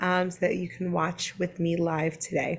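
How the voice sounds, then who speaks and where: Somewhat breathy, a woman with an American accent talks at a medium pitch and a moderate pace. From Brooklyn, New York. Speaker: online business coach. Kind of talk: live-streamed teaching webinar. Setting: live online stream. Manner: casual, with frequent fillers.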